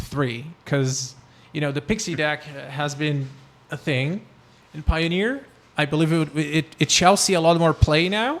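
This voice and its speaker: With a slight Brazilian accent, a man speaks at a fairly high pitch. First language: Portuguese. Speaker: card game content creator. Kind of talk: casual chat.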